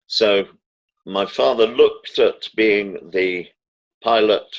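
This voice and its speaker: A man with a British accent speaks at a very slow pace. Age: 70s. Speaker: political commentator. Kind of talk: interview. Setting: phone call. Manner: formal.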